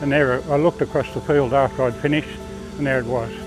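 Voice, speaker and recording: Over music in the background, a man of medium pitch talks at a very fast pace. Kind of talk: interview answer. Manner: casual, chatty.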